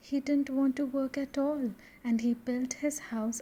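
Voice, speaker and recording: Soft-spoken and soothing, a woman talks at a fairly slow pace and high pitch, with a dark, mellow tone and monotone, flat intonation. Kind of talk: bedtime story narration. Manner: soothing, soft-spoken.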